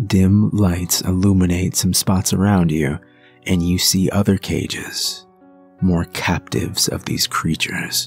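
Music plays behind a man with a very deep, low pitch. He speaks very slowly, with ordinary pitch variation. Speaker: horror story narrator; voice actor with some training. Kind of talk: creepypasta narration, horror story read aloud. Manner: dramatic, theatrical, slow.

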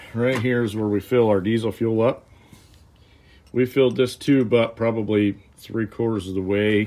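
A man with an unremarkable speaking voice talks at a moderate pace, his fairly low pitch showing ordinary variation. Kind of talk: tutorial. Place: workshop.

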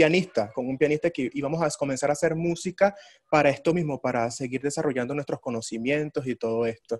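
A man's unremarkable speaking voice, fairly high in pitch and fairly even in intonation, against a quiet background. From Venezuela, Ciudad Bolívar; Venezuela. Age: 20s. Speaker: orchestra violist; interviewee. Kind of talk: interview. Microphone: video call.

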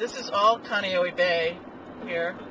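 A man at a very slow pace with fairly even intonation, dry sound with no echo, and noticeable background noise. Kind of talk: casual travel commentary. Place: car. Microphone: camera far.

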